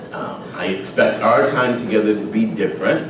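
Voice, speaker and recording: A man with an American accent speaks at a moderate pace, with noticeable background noise and audible room echo. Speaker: retired army officer and lecturer. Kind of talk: lecture. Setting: stage with audience. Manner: hesitant fillers.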